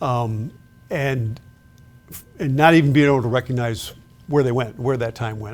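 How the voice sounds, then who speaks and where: An ordinary speaking voice from a man, medium in pitch, fairly quick, with fairly even intonation. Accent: American. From Chicago south suburbs, Illinois. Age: 60s. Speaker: retired law enforcement official. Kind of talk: interview.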